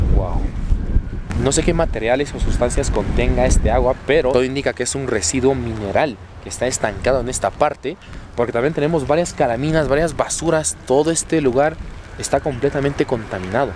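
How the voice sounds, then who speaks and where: A man of medium pitch talks at a fairly quick pace with ordinary pitch variation. Noticeable background noise is present. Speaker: travel vlogger. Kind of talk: on-location vlog narration. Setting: outdoors by a river. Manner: animated.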